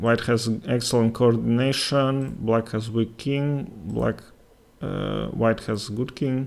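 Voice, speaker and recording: Speaking with a Latvian accent, a man keeps a medium pitch and fairly even intonation. He goes at a very slow pace. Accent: Russian-speaking Latvian accent in English. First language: Russian. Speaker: chess streamer and commentator. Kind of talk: live game commentary with chat. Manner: halting, many fillers.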